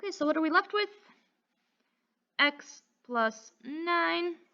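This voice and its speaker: A woman's raised, projected voice at an extremely high pitch, upbeat in tone and bright and sharp. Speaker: math teacher. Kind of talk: tutorial. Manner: stutters, self-correcting; casual, upbeat.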